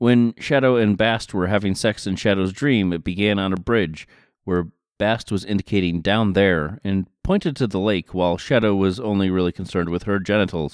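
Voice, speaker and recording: A man speaks in a normal speaking voice. His pitch is fairly low, with ordinary variation. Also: moderate pace. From US Northeast, western Massachusetts. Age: 30s. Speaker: podcast host. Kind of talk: casual commentary.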